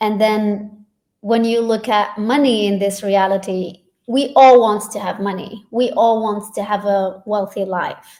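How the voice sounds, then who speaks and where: Speaking with a non-native accent, a woman talks at a fairly slow pace with a dark, mellow tone. Her pitch is fairly high and her intonation fairly even. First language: not English. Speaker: facilitator and doctor. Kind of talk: casual chat.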